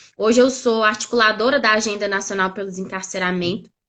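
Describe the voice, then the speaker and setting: Bright and sharp in tone, a woman's fairly high voice shows ordinary pitch variation. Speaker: doctoral researcher and activist. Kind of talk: live stream interview. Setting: online live stream.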